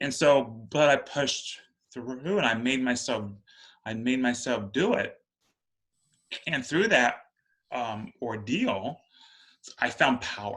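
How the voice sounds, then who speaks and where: At a very slow pace, a man talks with medium pitch and ordinary pitch variation. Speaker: podcast host and occult teacher. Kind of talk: casual panel discussion. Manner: halting.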